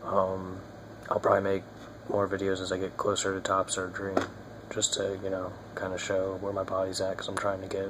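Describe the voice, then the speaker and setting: At a moderate pace, the quiet voice comes through noticeable background noise. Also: man. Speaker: video blogger. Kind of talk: casual vlog update. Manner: hesitant, many fillers.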